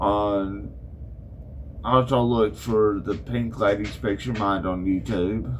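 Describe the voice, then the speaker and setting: In an Arkansas accent, a man with a fairly low pitch talks at a very slow pace, with audible room echo. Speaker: podcaster. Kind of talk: casual chat. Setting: barn workshop.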